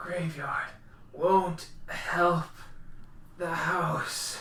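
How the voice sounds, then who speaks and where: A raspy, put-on character voice at middle pitch, monotone and flat in intonation, over light background noise. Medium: actual play. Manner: broken, fragmented.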